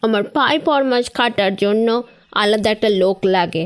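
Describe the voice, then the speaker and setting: A rumbling, put-on character voice moves at a fairly slow pace with fairly even intonation. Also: woman. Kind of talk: dramatic audio story acting. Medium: audio drama. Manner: scolding, grumbling, imperious.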